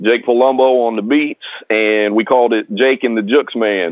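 Fairly slow, fairly even speech from a medium-pitched man with an American accent. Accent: country twang, still noticeable. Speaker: rapper. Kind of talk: interview. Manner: casual, filler-heavy.

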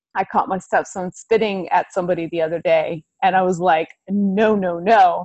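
With a normal speaking voice and an American accent, a woman talks fairly slowly at a medium pitch with ordinary pitch variation. The sound is dry and close, with no echo. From US, Delaware. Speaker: second grade teacher. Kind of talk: casual interview.

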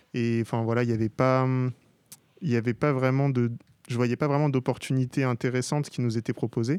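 A man talks at medium pitch. His delivery stays monotone, with flat intonation. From Paris suburbs, Gennevilliers housing estate. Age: 20s. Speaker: digital artist. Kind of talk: interview. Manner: hesitant, many fillers.

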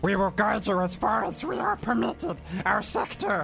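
A put-on character voice at a middle pitch moves at a moderate pace while clear music plays in the background. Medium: actual play. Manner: formal, halting.

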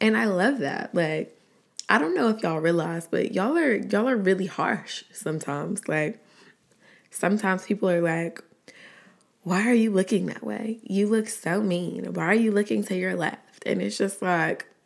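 This woman has an American accent and a medium pitch, speaking at a moderate pace with vocal fry. Her tone is animated and her intonation lively. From Atlanta, Georgia (Southside). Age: 20s. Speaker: podcaster and YouTuber. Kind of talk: casual solo podcast chat. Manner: animated, laughing often.

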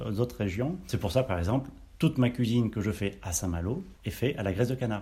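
The tone is dark and mellow, with vocal fry. Intonation is lively. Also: man. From Auvergne, France. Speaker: chef. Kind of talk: casual interview. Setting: on location at caviar farm.

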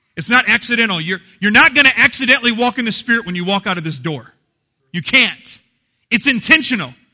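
An animated man with an American accent speaks very fast in a raised, projected voice, high-pitched and bright and sharp in tone, with lively intonation. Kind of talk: sermon, preacher in full flow with live congregation. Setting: church with live congregation. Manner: animated, call-and-response, punchy and joking; warm, jokey, laughs while preaching.

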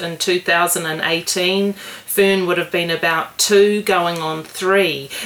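At a very slow pace, a woman with a New Zealand accent speaks in a fairly low pitch with fairly even intonation over noticeable background noise. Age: 40s. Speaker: writer. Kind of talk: casual interview. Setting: in the host's house.

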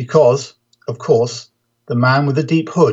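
An unforced reading voice with ordinary pitch variation, set against a quiet background.

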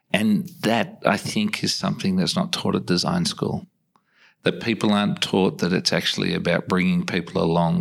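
Fairly quick speech in an Australian accent, with very even loudness, on a very clean recording with a silent background. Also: man. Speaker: podcast host. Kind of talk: interview conversation.

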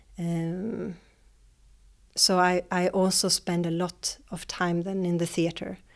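With a Swedish accent, the speaker talks very slowly in a flat monotone, in a very clean recording with a silent background. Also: woman, fairly low pitch for a woman. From Sweden, Jönköping. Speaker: dance teacher. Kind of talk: interview. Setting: dance school. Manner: halting.

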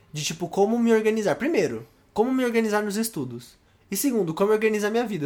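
On a very clean recording with a silent background, the words rush out at a very fast pace. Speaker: podcast co-host. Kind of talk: casual chat.

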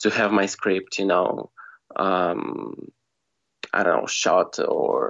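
A man with a Russian accent, at a very slow pace, in monotone, flat intonation. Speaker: screenwriter. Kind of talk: casual interview chat. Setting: phone call.

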